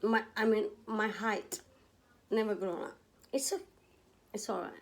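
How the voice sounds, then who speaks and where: The speaker has a non-native accent and ordinary pitch variation. Delivery is fairly slow, broken by long, frequent pauses. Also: woman. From India. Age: 40s. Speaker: vlogger. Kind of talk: personal vlog monologue. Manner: halting, self-correcting.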